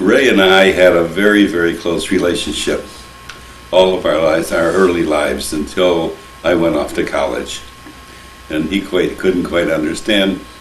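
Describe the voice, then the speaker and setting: Over noticeable background noise and audible room echo, a man with an American accent speaks at a moderate pace in a very deep, low pitch with fairly even intonation. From US Midwest, Toledo, Ohio. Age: 80s+. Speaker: interviewee recalling family history. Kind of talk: oral history interview.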